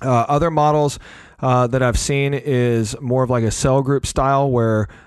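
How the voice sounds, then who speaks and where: With a slight Southern US accent, a man speaks at a medium pitch against a quiet background. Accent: slight Southern twang. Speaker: podcast host. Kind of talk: casual conversational podcast. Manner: animated, chatty.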